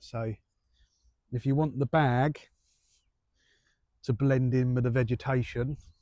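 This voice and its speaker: Soft-spoken with an English accent, the speaker goes at a fairly slow pace with fairly even intonation in a dry, close sound with no echo. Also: man. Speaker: carp angler vlogger. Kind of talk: casual vlog. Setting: outdoors. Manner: quiet.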